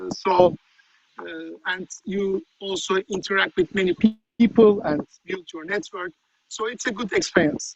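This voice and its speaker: A fairly slow delivery in a Turkish accent, with long, frequent pauses, big swings in loudness and ordinary pitch variation. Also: man, high pitch for a man. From Turkey. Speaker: journalist. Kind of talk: interview. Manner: halting, many fillers.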